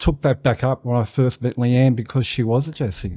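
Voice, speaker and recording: A voice with a dark, mellow tone and an Australian accent moves at a fairly quick pace with fairly even intonation, in a very clean recording with a silent background. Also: man. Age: 60s. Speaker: business owner. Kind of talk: casual interview.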